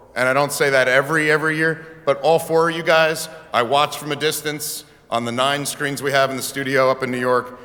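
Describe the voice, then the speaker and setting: A man with a fairly high voice talks fairly quickly, with noticeable background noise around him. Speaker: banquet emcee. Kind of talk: banquet emceeing. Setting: stage with audience. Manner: animated; fast.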